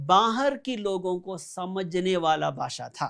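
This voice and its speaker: Speaking with a Malayali accent, a man with a high-pitched voice comes through in a very clean recording with a silent background. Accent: Malayali-accented Hindi. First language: Malayalam (speaking Hindi). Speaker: pastor. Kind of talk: sermon.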